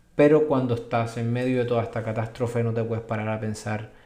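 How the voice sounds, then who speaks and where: In a room with audible echo, a man with a medium-pitched voice races along very fast in a flat monotone. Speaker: physician. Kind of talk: video explainer. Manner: halting, repetitive fillers.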